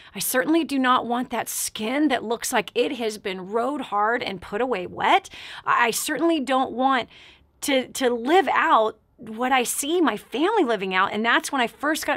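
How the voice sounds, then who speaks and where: A woman speaks at a high pitch in an animated tone with lively intonation. The background is quiet. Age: 40s. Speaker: talk show host and motivational speaker. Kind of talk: radio call-in talk show. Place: studio.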